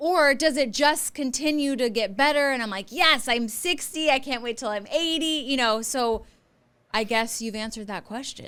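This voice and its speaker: This woman's voice is high-pitched, with ordinary pitch variation. Her tone is animated and her pace moderate. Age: 40s. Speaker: podcast host and divorce lawyer. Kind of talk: interview conversation.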